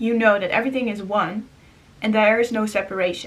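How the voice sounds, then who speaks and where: A woman with a non-native accent speaks at a fairly quick pace, her fairly high pitch held in fairly even intonation. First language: not English. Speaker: spiritual vlogger. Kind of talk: casual monologue. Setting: indoors.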